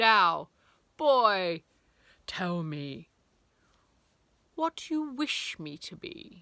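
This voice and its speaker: A woman uses a put-on character voice at medium pitch, with very wide pitch swings. She goes at a very slow pace with long, frequent pauses, on a very clean recording with a silent background. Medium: read story. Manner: grand and formal.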